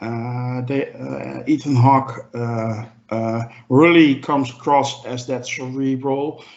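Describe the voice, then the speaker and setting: A very slow, flat monotone in a non-native accent, over noticeable background noise. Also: man, medium pitch for a man. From Europe. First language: not English. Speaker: podcast panelist. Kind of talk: casual chat. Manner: halting, many fillers.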